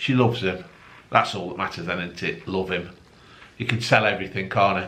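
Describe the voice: A man talks with a fairly bright tone and ordinary pitch variation. Strong room echo surrounds his voice.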